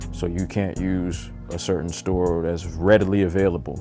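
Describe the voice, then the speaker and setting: A man's very deep, low voice with fairly even intonation and music in the background. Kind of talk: stream-of-consciousness vlog monologue. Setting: home recording with a microphone.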